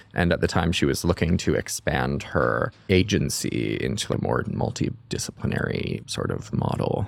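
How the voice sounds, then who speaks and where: Hardly pausing at all, a man with a very deep, low pitch makes very wide pitch swings over noticeable background noise. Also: moderate pace. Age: 20s. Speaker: production designer and director. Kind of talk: casual interview. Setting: in-person studio.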